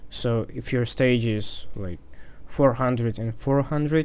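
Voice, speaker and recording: A man's medium-pitched voice in a Russian accent, with fairly even intonation, at a fairly slow pace. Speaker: game developer. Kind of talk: casual screen-recorded programming tutorial.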